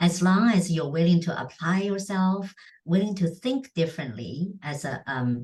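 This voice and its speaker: Somewhat breathy and fairly low-pitched, a woman speaks with lively intonation. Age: 60s. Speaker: charity founder and entrepreneur. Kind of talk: interview conversation.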